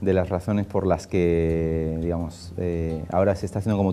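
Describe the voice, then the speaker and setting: At a moderate pace, a man speaks in a monotone, flat intonation with a dark, mellow tone. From Spain. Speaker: film director and screenwriter. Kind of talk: interview. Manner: halting.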